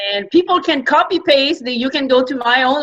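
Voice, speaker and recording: Her voice raised and projected, a woman speaks at a high pitch in a strong French accent. Her pitch moves in an ordinary way. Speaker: entrepreneur and media coach. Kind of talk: interview.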